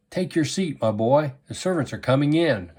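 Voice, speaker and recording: A man performs a put-on character voice, pitched fairly high. He moves at a moderate pace with lively intonation. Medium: read story. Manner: firm, authoritative.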